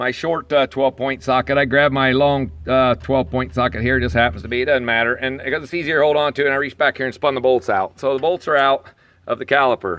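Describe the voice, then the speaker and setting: The voice is an unremarkable speaking voice at a fairly quick pace. It sounds dry and close with no echo. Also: man. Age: 60s. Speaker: DIY car repair hobbyist, auto worker. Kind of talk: tutorial. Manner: casual, with fillers.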